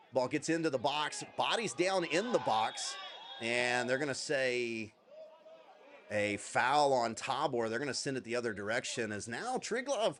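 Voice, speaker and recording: A man with lively intonation talks at a fairly slow pace amid noticeable background noise. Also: medium pitch for a man. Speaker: football commentator. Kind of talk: live commentary. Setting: livestream. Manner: animated.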